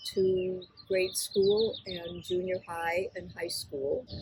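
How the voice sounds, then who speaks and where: A woman speaks at a very slow pace in an American accent. Noticeable background noise runs behind her. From US Midwest, Kenosha Wisconsin. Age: 80s+. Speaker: interviewee. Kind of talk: interview.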